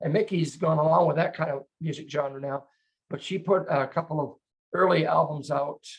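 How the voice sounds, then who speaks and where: Vocal fry colors a man's fairly high-pitched voice, which keeps a fairly even intonation. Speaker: broadcast show host. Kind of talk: casual year-end review chat. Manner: fast.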